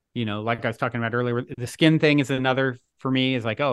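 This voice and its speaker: Over a quiet background, a man speaks in a plain, everyday voice. His pitch is medium and his intonation fairly even. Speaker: author and podcast host. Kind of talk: interview conversation.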